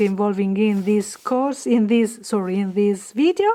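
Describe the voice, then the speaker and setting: Amid noticeable background noise, a woman talks at a fairly slow pace with ordinary pitch variation. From Italy. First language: Italian. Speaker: craft artist and stencil designer. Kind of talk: tutorial. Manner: halting, with many fillers; casual, friendly.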